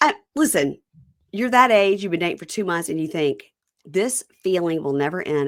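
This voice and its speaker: A woman with a slight Southern accent speaks in an animated tone at a fairly quick pace. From Mississippi. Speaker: podcast host. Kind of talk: casual chat.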